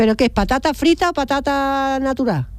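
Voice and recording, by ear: Her high-pitched voice moves at a fairly quick pace, and this woman uses lively intonation with a slightly mellow tone.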